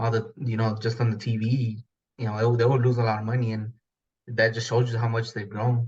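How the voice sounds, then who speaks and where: In an American accent, the speaker talks fairly quickly and somewhat breathily. The intonation is flat and monotone. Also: man, medium pitch for a man. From Houston, Texas (came from Mexico at age two). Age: 30s. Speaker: sports fan. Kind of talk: casual chat. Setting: podcast interview.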